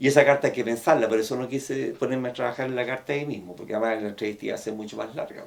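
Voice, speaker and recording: A man with a Chilean accent at a medium pitch, very fast pace with hardly any pauses, fairly even intonation, and noticeable background noise. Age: 60s. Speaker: therapist. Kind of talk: professional case discussion.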